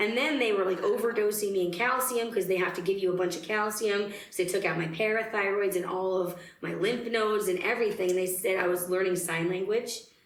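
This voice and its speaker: A woman with a medium-pitched voice talks at a fairly quick pace with fairly even intonation and very even loudness. Audible room echo and noticeable background noise are present. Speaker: singer in a country-blues band. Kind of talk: interview, personal story. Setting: radio station studio.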